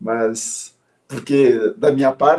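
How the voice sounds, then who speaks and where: His tone dark and mellow, a man speaks with a fairly high pitch. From Brazil, São Paulo. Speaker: systemic therapist. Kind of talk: interview.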